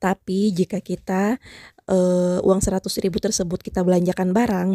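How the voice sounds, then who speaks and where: A woman speaks at a moderate pace with a medium pitch and a dark, mellow tone. Her intonation is monotone and flat, and the sound is dry and close with no echo. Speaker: YouTuber and small grocery shop owner. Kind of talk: voice-over tutorial. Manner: hesitant fillers.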